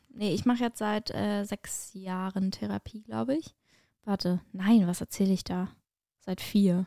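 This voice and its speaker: A woman uses an ordinary speaking voice at medium pitch and a fairly slow pace, with ordinary pitch variation. The recording is very clean with a silent background and a dry, close sound with no echo. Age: 20s. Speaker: podcast host and stand-up comedian. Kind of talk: casual chat.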